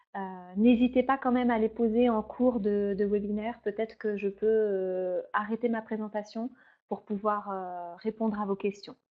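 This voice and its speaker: Her pitch fairly high and her intonation flat and monotone, a woman speaks at a fairly slow pace. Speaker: beauty trainer and beautician. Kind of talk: product training webinar. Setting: online webinar. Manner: hesitant, many fillers.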